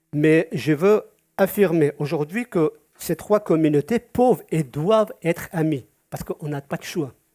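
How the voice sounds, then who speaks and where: A man with a high pitch and a dark, mellow tone speaks at a fairly slow pace with ordinary pitch variation, in a dry, close sound with no echo. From Georgia (Soviet Union), Yazidi community. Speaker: community association president. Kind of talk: prepared speech at a community event, partly read aloud. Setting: event with live audience. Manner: halting, with frequent hesitations.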